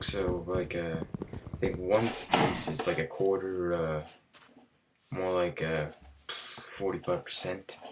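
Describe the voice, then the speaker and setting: The speech moves at a very slow pace with long, frequent pauses. Noticeable background noise runs underneath. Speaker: gaming youtuber. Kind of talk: let's play commentary. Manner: halting, many fillers.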